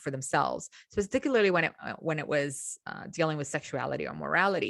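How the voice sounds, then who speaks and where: Speaking at a fairly quick pace with an Eastern European accent, a woman with a very deep, low pitch shows ordinary pitch variation. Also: dry, close sound with no echo. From Romania. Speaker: podcast host, mythology scholar. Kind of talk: educational podcast lecture. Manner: conversational, with filler words.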